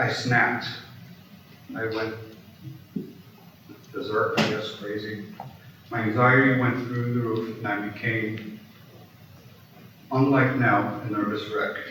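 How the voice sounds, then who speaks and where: Over noticeable background noise, a man with an American accent talks slowly at a medium pitch with monotone, flat intonation and long, frequent pauses. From Brooklyn, New York. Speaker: audio engineer. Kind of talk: keynote speech.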